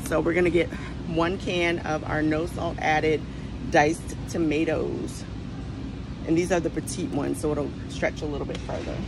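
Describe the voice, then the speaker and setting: Moderately paced speech from a woman, over background music. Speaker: health vlogger. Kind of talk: tutorial. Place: shop. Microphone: phone near.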